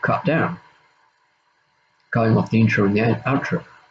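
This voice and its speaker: Lively intonation marks this man's speech in an Australian accent. His pitch sits in the medium range. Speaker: YouTuber. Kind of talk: casual monologue, drama response video. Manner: halting, many fillers and repeats.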